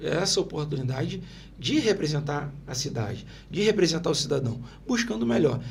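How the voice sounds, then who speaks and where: Amid audible room echo, a man with a fairly high pitch speaks with lively intonation. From Brazil, Itaguaí (Rio de Janeiro state). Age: 50s. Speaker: local politician. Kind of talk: interview. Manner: animated.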